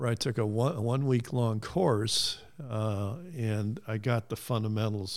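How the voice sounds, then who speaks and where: Speaking in a Midwestern American accent, a man at medium pitch keeps a fairly slow pace. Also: ordinary pitch variation, very clean recording, silent background. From US Midwest (Cleveland, Ohio). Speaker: retired construction project manager. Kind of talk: casual interview.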